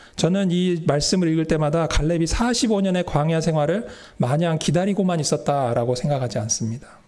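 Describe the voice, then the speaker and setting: A man with a fairly high pitch and a dark, mellow tone speaks at a fairly quick pace with lively intonation, his loudness very even, and audible room echo around him. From Seoul, South Korea. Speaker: pastor. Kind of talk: sermon. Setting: church.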